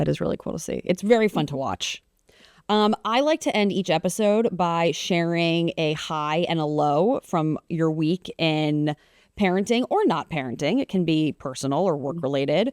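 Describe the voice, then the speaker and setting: Her intonation lively and her pitch fairly low, a woman with an ordinary speaking voice talks at a moderate pace. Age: 30s. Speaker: podcast host and TV meteorologist. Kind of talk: casual chat. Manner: casual, many fillers.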